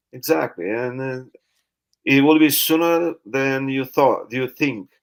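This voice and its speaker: A man speaks with a non-native accent at a fairly slow pace. His pitch is medium, with ordinary pitch variation. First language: not English. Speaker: live stream host, network marketer. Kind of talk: casual interview. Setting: live stream. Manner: halting.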